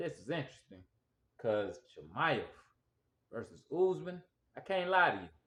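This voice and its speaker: Speaking at a fairly slow pace, a man with a Southern US accent sounds animated. His pitch swings very widely. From US South. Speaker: sports commentator. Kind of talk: casual monologue.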